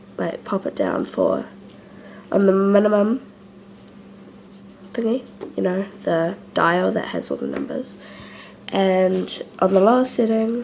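A woman talks at a very slow pace. Light background noise can be heard. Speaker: food reviewer. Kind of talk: casual talk to camera, food reaction. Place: kitchen. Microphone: phone near.

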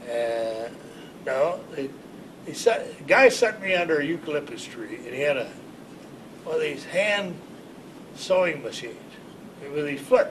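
Against noticeable background noise, a man with an American accent and a fairly high voice talks at a moderate pace, with lively intonation, big swings in loudness and long, frequent pauses. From Ohio, US. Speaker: war veteran. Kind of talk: oral history interview. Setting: library. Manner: halting. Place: office.

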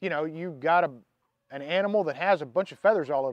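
A man's high-pitched voice, dry with no echo, against a quiet background. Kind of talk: tutorial. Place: garden.

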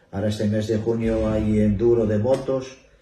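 A man speaks at a fairly slow pace and medium pitch, somewhat breathy. Audible room echo surrounds his voice. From Asturias, Spain (Infiesto, Piloña); Asturias, Spain. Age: 60s. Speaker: retired bank employee, festival speaker; speaker. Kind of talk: interview. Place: hall. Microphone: camera far.

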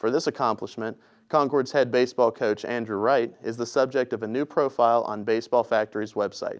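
Against a quiet background, a man with an unremarkable speaking voice talks at a fairly quick pace, medium pitch and fairly even intonation. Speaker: sports reporter. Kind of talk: scripted sports report. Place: studio.

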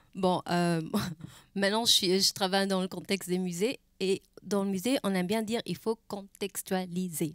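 In a dry sound with no echo and a quiet background, a woman with a medium pitch speaks at a moderate pace with fairly even intonation and very even loudness. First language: German (speaking French). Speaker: museum curator; panelist. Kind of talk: panel discussion. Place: stage. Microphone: handheld.

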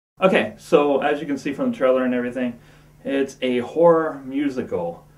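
The man has a medium pitch and ordinary pitch variation at a moderate pace. Room echo can be heard.

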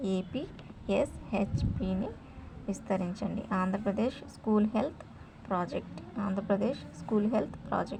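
Her medium-pitched voice is dark and mellow, with vocal fry running through it. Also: lively intonation, moderate pace.

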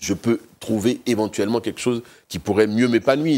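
This man keeps a moderate pace. His intonation is lively. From Côte d'Ivoire, Abidjan; Côte d'Ivoire. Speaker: business executive; interviewee. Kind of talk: TV interview. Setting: TV studio. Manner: halting, many repetitions. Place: studio. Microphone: lapel.

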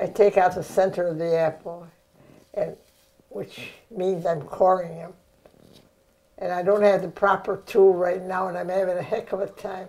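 In a dark, mellow tone with an American accent, the speaker goes at a moderate pace, monotone and flat, with long, frequent pauses. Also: woman. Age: 90s. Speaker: home cook. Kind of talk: cooking demonstration. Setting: home kitchen. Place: kitchen. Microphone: lapel.

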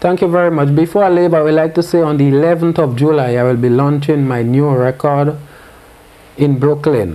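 A man speaks with a dark, mellow tone. His pace is moderate and his intonation fairly even. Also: fairly high pitch for a man.

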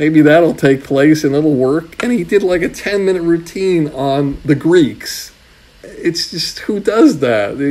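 Over noticeable background noise, a man talks at a fairly slow pace with a fairly high pitch. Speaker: comedy talent manager. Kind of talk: interview.

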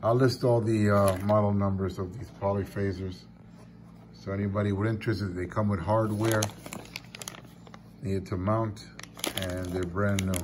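A fairly low male voice at a moderate pace, with fairly even intonation, long and frequent pauses, and noticeable background noise. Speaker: radio amateur selling gear. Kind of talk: casual show-and-tell sale description. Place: home room. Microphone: phone near.

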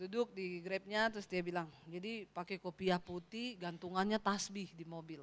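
Talking at a moderate pace with hardly any pauses, a woman shifts widely in loudness. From Sulawesi, Indonesia. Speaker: pastor. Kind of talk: sermon. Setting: church. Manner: animated. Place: church. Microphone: handheld.

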